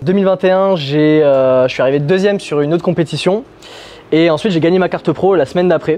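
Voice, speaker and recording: Talking very fast, this man has a fairly high-pitched voice. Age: 20s. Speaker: pro bodybuilder and posing coach. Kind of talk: casual instruction.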